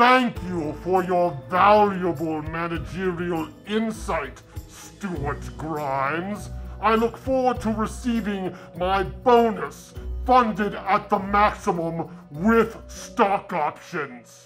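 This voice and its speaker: Over clear music in the background, a man uses a put-on character voice at a high pitch, speaking at a very slow pace with ordinary pitch variation. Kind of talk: comic overacting. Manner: pompous, booming, theatrical menace.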